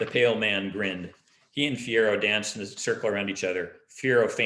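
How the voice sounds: Natural reading voice, its pitch moving in an ordinary way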